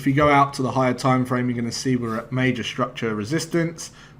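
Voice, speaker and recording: Over noticeable background noise, a man with a medium pitch speaks at a very fast pace with fairly even intonation. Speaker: forex trading educator. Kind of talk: trading tutorial. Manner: casual, hesitant fillers.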